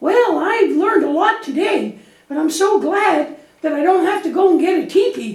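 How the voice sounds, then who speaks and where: Extremely high in pitch, a cartoonish character voice comes through with slight echo. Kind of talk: children's church puppet show. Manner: worried, anxious.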